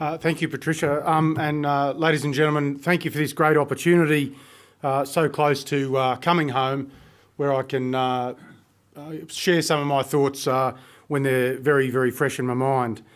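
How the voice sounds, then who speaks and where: The recording is very clean, the background silent. A man with a fairly high pitch speaks at a moderate pace in a monotone, flat delivery. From Australia. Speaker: army officer, peacekeeping contingent commander. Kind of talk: conference talk. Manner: hesitant, many fillers.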